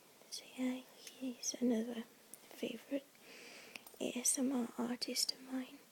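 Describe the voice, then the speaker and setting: Soft-spoken and high-pitched, a woman talks at a fairly slow pace with long, frequent pauses, flat monotone intonation and big swings in loudness over noticeable background noise. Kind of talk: ASMR talk to camera. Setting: home recording with handbag sounds. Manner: soft-spoken, slightly nervous at first.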